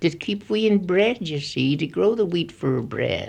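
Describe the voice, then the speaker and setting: Against a quiet background, a woman with a Gloucestershire accent speaks fairly slowly with lively intonation. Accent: Gloucestershire rural dialect. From Gloucestershire, England. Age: 80s+. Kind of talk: interview answer. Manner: gentle yet authoritative.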